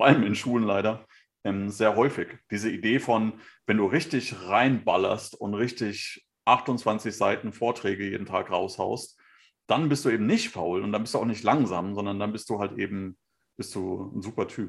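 A man has a plain, everyday voice, fairly low in pitch with ordinary pitch variation. He keeps a moderate pace on a very clean recording with a silent background. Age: 40s. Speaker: podcast co-host, photographer and designer. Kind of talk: casual chat.

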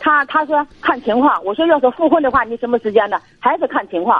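A woman with a high pitch speaks at a fairly quick pace with lively intonation. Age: 60s. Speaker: retired caller seeking advice. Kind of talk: phone-in advice call. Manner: halting.

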